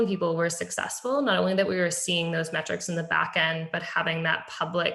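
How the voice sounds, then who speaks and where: In a room with audible echo, a woman speaks with a fairly low pitch, a bright, sharp tone and vocal fry. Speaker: public health technology presenter. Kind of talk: webinar presentation. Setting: virtual meeting. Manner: fast.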